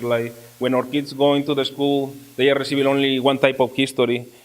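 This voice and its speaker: A man with a Mexican accent speaks at a medium pitch and moderate pace in a monotone, flat intonation over noticeable background noise. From Mexico. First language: Spanish. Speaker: community ministry team member. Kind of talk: panel talk. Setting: church event with audience. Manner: halting.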